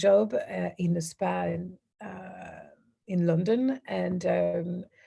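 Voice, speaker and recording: A woman speaks at a very slow pace. She talks with a French accent. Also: big swings in loudness. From southern France. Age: 30s. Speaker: women's empowerment coach. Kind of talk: interview. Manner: halting, many fillers and restarts.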